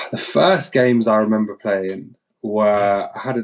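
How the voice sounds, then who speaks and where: Speaking with a London accent, a man talks at a very slow pace in a fairly low pitch with fairly even intonation. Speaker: game founder. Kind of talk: interview. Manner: halting.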